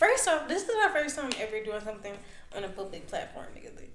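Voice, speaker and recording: A woman's mumbling amid noticeable background noise and audible room echo. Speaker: podcast host. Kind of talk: casual chat.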